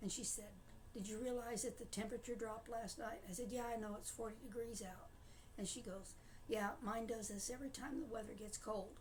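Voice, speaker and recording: In a room with audible echo, a woman speaks at a fairly quick pace. Her pitch sits fairly high. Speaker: diabetic vlogger sharing personal experience. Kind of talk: casual personal talk to camera. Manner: halting, many filler words.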